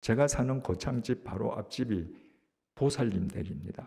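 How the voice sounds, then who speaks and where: A man talks fairly slowly in a dark, mellow tone that is somewhat breathy. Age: 70s. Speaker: pastor. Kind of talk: sermon.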